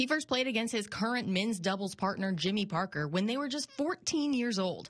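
Her voice is somewhat breathy and sits at a medium pitch, and this woman talks at a moderate pace with lively intonation. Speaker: TV news reporter. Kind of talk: TV news report narration.

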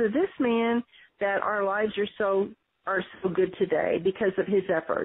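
A woman with an American accent talks at a medium speed. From Texas, Corpus Christi. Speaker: physical therapist, daughter of a civil rights figure. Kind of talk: interview.

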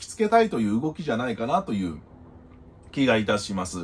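A man is speaking. His pitch swings very widely. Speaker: YouTube news commentator. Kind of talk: solo commentary. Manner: polite, formal sign-offs. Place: home room.

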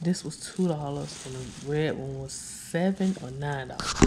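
Over clear background noise, a woman speaks at a fairly slow pace with a low pitch and ordinary pitch variation.

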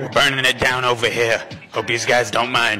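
A put-on character voice speaks at a moderate pace with clear music in the background. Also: man. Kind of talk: comic parody dub. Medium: fan dub. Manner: profane, aggressive, brash.

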